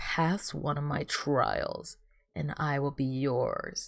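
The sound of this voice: A raspy, put-on character voice moves at a very slow pace.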